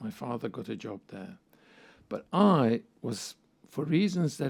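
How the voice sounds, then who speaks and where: In a Hungarian accent, a man speaks at a moderate pace with a dark, mellow tone. His pitch swings very widely. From Hungary. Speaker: psychoanalyst and professor. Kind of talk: interview.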